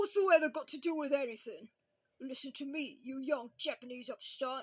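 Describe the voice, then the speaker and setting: Someone puts on a high-pitched character voice and keeps a moderate pace. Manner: angry, scolding.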